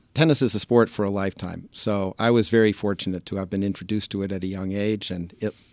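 In a very clean recording with a silent background and dry, close sound with no echo, a man with an American accent and fairly low pitch talks at a fairly quick pace with fairly even intonation. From New York City (Manhattan). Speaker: sports agency founder. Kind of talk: interview.

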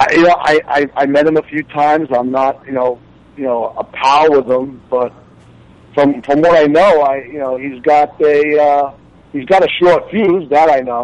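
This man, with a Long Island accent, has a fairly high pitch and fairly even intonation. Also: moderate pace. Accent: Long Island New York. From Long Island, New York. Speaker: reality TV cast member. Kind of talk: interview. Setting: phone call.

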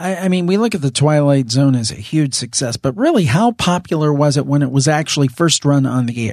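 In a normal speaking voice, the speaker moves at a fairly quick pace with lively intonation and hardly any pauses against a quiet background. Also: man, fairly high pitch for a man. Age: 40s. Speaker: podcast host interviewing guests. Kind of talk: casual interview chat.

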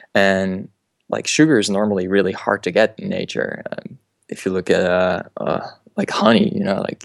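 A man talks with a Dutch accent. His pace is moderate. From Netherlands. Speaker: motion designer. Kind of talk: interview.

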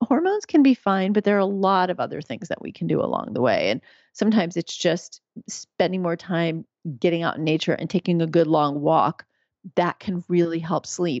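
Speaking at a moderate pace, a woman with a fairly low pitch has an unremarkable speaking voice. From US, New York City. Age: 50s. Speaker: physician and midwife. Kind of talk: interview.

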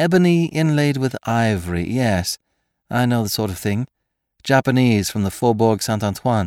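Plain reading aloud with lively intonation, over a quiet background

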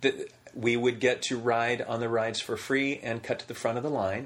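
This man has a plain, everyday voice, pitched at a medium level and delivered at a moderate pace. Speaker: voiceover actor. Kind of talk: casual interview chat. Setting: in person at home.

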